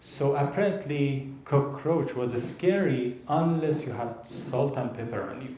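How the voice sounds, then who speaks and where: A man with an Iranian accent speaks at a fairly slow pace in a fairly high pitch, his pitch varying in an ordinary way. His loudness swings widely, and there is noticeable background noise. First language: Persian. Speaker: stand-up comedian. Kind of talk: live stand-up comedy set.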